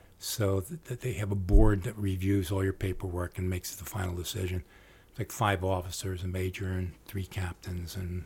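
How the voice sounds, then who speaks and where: A man with a very deep, low pitch and an American accent speaks at a moderate pace, sounding somewhat breathy. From Trenton, New Jersey. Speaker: war veteran. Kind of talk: interview storytelling.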